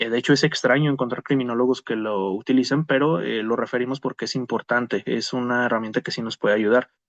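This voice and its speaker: Speaking at a fairly quick pace, a man holds a medium pitch with ordinary variation. The sound is dry and close, with no echo. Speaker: criminologist, conference speaker. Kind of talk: lecture. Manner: fast; hesitant fillers (eh).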